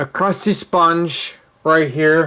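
A man speaks at a very slow pace in a fairly high pitch. His tone is bright and sharp. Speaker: hobbyist steam engine maker. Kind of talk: tutorial. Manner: halting, with many ums. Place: home room. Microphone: phone near.

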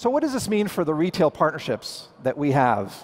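The voice belongs to a man. His pace is moderate. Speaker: presenter. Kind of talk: keynote presentation. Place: hall. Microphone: headset.

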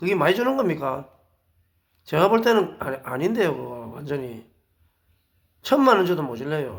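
A man with a Busan accent, fairly high-pitched, with vocal fry, very wide pitch swings, a moderate pace, and long, frequent pauses. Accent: Gyeongsang (Busan) dialect. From South Korea, Busan. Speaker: lecturer, ex-marine volunteer, wedding photographer. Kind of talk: monologue lecture. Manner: hesitant with frequent fillers; emphatic, indignant.

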